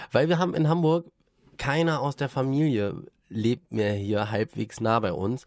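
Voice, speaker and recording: A normal speaking voice from a man, medium in pitch, at a fairly slow pace, on a very clean recording with a silent background. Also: lively intonation. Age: 30s. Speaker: podcast host, father of a toddler. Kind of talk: casual chat.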